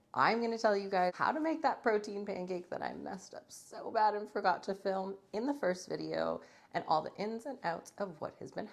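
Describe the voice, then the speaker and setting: A woman speaks at a medium pitch and a moderate pace. Vocal fry runs through her voice. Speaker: fitness vlogger. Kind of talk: vlog.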